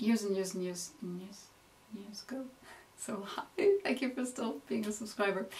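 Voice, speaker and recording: A woman with an American accent speaks at a moderate pace, pausing long and often. Her medium pitch shows ordinary variation, while her loudness swings widely. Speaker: makeup tutorial youtuber. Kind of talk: Q&A video monologue.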